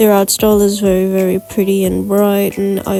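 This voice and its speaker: The speech runs at a fairly quick pace with music in the background. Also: woman. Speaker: digital artist. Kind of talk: casual voiceover commentary.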